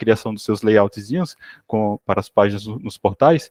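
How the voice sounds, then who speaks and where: A man with a Sergipe accent talks at a moderate pace and medium pitch. The sound is dry and close, with no echo. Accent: Sergipe northeastern Brazilian. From Sergipe, northeastern Brazil. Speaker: software developer. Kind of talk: self-introduction; technical presentation. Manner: hesitant, many fillers.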